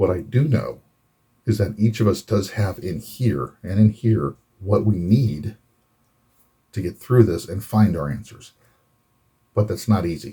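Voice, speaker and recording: A man with an American accent talks fairly slowly at a fairly low pitch with ordinary pitch variation. His tone is dark and mellow, and somewhat breathy. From Florida. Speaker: Navy veteran, photojournalist. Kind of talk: casual talk to camera.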